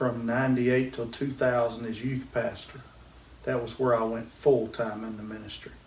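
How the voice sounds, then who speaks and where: In a Southern US accent, a man speaks at a moderate pace and medium pitch, his intonation flat and monotone. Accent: Southern US (Georgia). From US South. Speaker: pastor. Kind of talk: interview.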